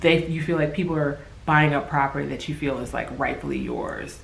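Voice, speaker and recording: Fairly quick speech comes through noticeable background noise and audible room echo. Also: woman. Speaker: vlogger. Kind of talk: casual vlog monologue. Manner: hesitant, many fillers.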